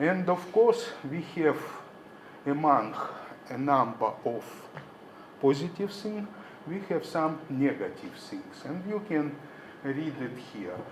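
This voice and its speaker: A man with a Russian accent, fairly high-pitched, speaking very slowly with lively intonation, big swings in loudness, long and frequent pauses, audible room echo and noticeable background noise. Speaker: professor. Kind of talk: conference presentation. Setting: conference hall.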